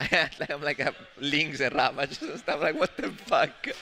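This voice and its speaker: With a strong Italian accent, a man speaks at a fairly slow pace. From Italy. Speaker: esports commentator. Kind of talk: live commentary. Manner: animated.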